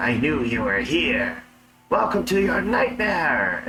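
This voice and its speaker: A man puts on a high-pitched character voice at a fairly slow pace. Faint music plays in the background. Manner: cackling, laughing, menacing.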